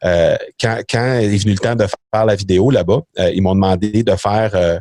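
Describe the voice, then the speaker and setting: A man's fairly low, dark and mellow voice with a Quebec accent, moderate in pace and fairly even in intonation, in a dry, close sound with no echo. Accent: Québécois French. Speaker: entrepreneur. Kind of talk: podcast interview. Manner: halting, many fillers and repetitions.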